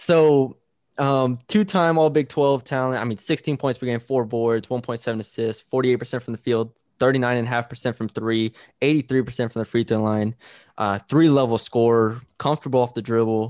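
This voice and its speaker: In a very clean recording with a silent background and a dry, close sound with no echo, a man speaks in a plain, everyday voice at medium pitch, with fairly even intonation and a fairly slow pace. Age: 20s. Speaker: sports podcast host. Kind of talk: casual sports chat.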